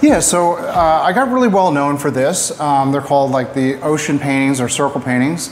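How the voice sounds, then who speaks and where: Over noticeable background noise and audible room echo, a man talks at a fairly quick pace in a fairly high pitch. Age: 60s. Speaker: painter. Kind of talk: casual interview. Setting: art gallery studio.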